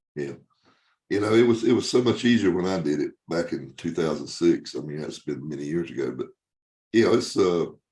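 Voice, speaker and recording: With a very deep, low pitch and a dark, mellow tone, a man talks at a fairly quick pace, his lively intonation edged with vocal fry. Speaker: podcast host, legal marketing expert. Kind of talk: podcast interview, host side.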